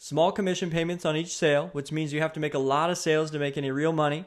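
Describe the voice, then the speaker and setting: Over a very clean recording with a silent background, a man speaks at a very fast pace in an animated tone with a fairly high pitch. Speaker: business opportunity presenter; father. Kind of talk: sales pitch.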